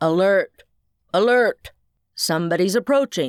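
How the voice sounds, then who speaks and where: At a moderate pace, the speaker puts on a character voice at middle pitch. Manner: monotone.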